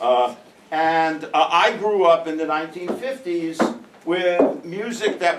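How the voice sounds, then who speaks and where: A man with a New York accent, high in pitch, at a fairly slow pace with ordinary pitch variation, over noticeable background noise. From New York (Brooklyn). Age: 70s. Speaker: professor. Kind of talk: casual classroom talk.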